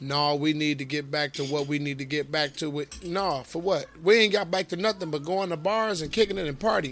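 Music plays in the background as a man speaks fairly quickly at a fairly high pitch, with ordinary pitch variation. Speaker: podcast host. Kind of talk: casual chat. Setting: live stream.

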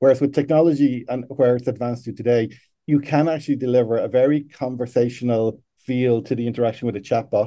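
Medium in pitch with a dark, mellow tone, a man speaks very fast with fairly even intonation. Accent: Irish. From Ireland. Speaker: customer support executive. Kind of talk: interview.

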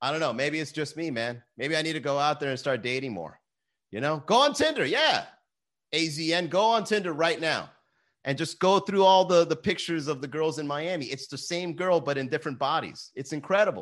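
Against a quiet background, a man talks at a fairly quick pace in an animated tone with ordinary pitch variation. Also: fairly high pitch for a man. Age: 30s. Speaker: podcast host. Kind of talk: live stream chat reading viewer comments. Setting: live stream.

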